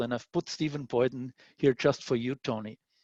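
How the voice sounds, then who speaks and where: A man with an Austrian accent speaks at a moderate pace, his voice dry and close with no echo against a quiet background. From Austria (Vienna). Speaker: scientist. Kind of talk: lecture.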